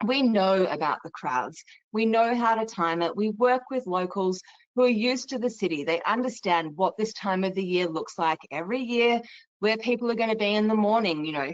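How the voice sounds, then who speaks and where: A woman's fairly high voice with lively intonation at a moderate pace. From Australia. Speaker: travel company sales presenter. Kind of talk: webinar presentation. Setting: online webinar.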